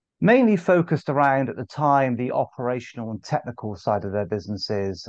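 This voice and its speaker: A man with a Bristol accent. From England, Bristol. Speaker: sales director. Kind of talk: podcast interview. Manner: hesitant, many fillers.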